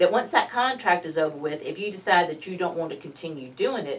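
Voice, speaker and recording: A woman speaks with a fairly low pitch. Hers is an unremarkable speaking voice. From Georgia, US South. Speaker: local political club chair. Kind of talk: casual interview.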